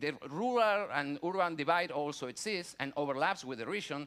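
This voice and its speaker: In a Spanish accent, a man speaks with lively intonation and a bright, sharp tone. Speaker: conference panelist, researcher. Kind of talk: conference presentation. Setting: conference auditorium. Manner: halting, many fillers and restarts.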